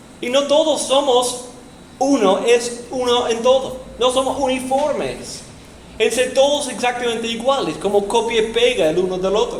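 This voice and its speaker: Amid noticeable background noise and audible room echo, a man with an extremely high pitch speaks with ordinary pitch variation. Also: fairly slow pace. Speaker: pastor. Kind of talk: sermon. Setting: church, in person.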